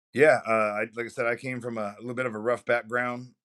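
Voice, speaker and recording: On a very clean recording with a silent background, a man with an American accent speaks in a monotone, flat intonation. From Ohio, US. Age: 40s. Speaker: retired army veteran and archery coach. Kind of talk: interview. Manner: polite, formal address (yes sir).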